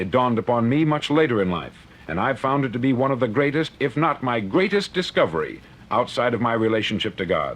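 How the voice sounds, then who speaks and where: With an American accent and an ordinary speaking voice, a man talks at a fairly quick pace, his medium pitch carrying lively intonation. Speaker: motivational speaker. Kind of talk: motivational speech. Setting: vintage studio recording.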